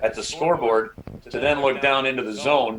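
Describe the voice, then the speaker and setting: Amid noticeable background noise, a man talks with a medium pitch. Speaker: radio play-by-play broadcaster. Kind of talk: interview answer, casual talk.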